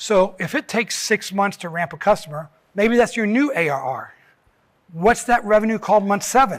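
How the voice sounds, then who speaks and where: On a very clean recording with a silent background, a man with a high pitch speaks with lively intonation. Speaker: conference speaker. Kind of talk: conference talk. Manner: fast; animated.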